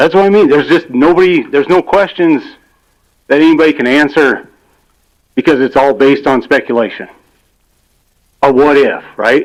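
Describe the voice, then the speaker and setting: With long, frequent pauses, a man talks at a moderate pace and very even loudness, his pitch fairly high with ordinary variation. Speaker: resident giving public comment. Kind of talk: public comment at county meeting. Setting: public meeting room with PA mic.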